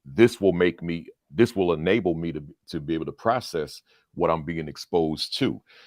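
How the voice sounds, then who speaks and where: In a very clean recording with a silent background, a man talks at a moderate pace in a very deep, low pitch, with ordinary pitch variation and a dry, close sound with no echo. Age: 60s. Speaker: school principal, education speaker. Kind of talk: interview.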